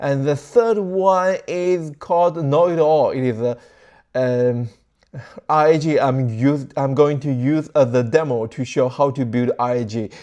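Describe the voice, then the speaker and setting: A man with a fairly high pitch and a non-native accent talks at a moderate pace in a dark, mellow tone. The background is quiet. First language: not English. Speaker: tech tutorial creator. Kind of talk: tutorial. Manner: casual, halting.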